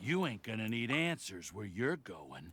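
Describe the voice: A man's put-on character voice, fairly low in pitch with big pitch swings, a slightly husky edge, a fairly bright tone and a fairly slow pace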